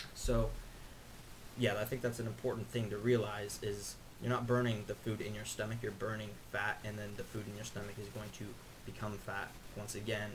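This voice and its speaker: Audible room echo and noticeable background noise accompany a man with a fairly low pitch. His delivery is fairly quick and monotone, with flat intonation. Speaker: fitness youtuber. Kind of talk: casual explainer monologue. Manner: fast.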